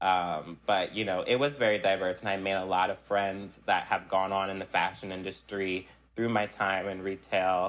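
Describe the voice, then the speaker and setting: A man with an American accent speaks at a moderate pace with hardly any pauses. His fairly low voice has monotone, flat intonation. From US Northeast, South Jersey / Philadelphia area. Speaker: fashion production coordinator and stylist. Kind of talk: interview.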